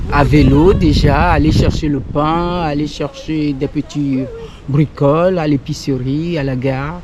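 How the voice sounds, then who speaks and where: A woman speaks very slowly in a very deep, low voice with fairly even intonation, and noticeable background noise can be heard. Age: 60s. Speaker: cycling course participant. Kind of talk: interview.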